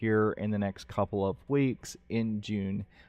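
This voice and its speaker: Speaking with a slight Ohio accent, a man uses a fairly low pitch and a monotone, flat intonation. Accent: slight Canadian-like Ohio. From Ohio, US. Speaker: game developer and streamer, Marine veteran. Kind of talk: live stream vlog. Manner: halting, many fillers.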